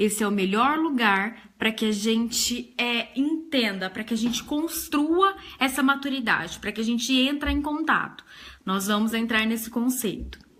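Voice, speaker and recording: Here a woman talks at a fairly slow pace with a fairly high pitch. Her tone is bright and sharp, with lively intonation. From Brazil, interior of São Paulo state. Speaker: psychotherapist. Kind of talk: live-streamed talk. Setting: Facebook live stream.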